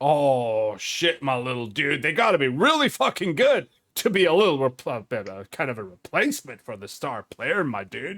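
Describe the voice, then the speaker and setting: A man puts on a character voice at a fairly high pitch with hardly any pauses. The recording is very clean, with a silent background. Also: moderate pace. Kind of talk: casual, slangy, bro-like. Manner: laid-back.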